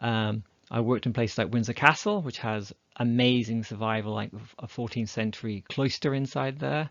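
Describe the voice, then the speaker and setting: Speaking in an English accent, a man uses ordinary pitch variation. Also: medium pitch for a man, moderate pace. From England. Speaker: dendrochronologist. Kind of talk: lecture.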